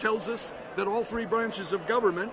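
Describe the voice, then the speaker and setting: Against noticeable background noise and audible room echo, a man speaks at a fairly quick pace with a high pitch and monotone, flat intonation. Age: 60s. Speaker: pastor and activist. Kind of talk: interview. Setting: conference floor.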